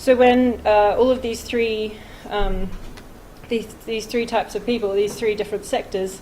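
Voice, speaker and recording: Noticeable background noise and audible room echo surround a woman's fairly high voice. She speaks with an Australian accent at a moderate pace. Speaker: conservation researcher, PhD student. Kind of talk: conference talk. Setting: conference stage with audience. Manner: hesitant, many fillers.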